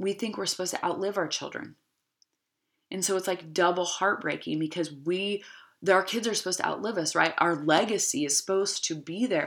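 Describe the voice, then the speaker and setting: The recording is very clean with a silent background as a woman speaks at a moderate pace in a fairly low pitch with ordinary pitch variation. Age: 30s. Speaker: podcast host, life coach. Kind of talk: motivational monologue. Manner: animated, laughing.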